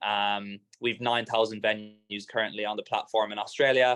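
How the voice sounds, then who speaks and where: A man speaks in a fairly low voice at a moderate pace. His intonation is monotone and flat, and the sound is dry and close with no echo. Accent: Irish. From Ireland. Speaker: startup founder. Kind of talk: talk to a live or online event audience. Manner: casual, hesitant with fillers and repeats.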